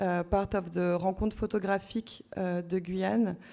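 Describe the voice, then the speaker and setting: With a French accent, a woman talks at a medium pitch in a dark, mellow tone, monotone and flat. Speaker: curator. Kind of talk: conference presentation. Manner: halting.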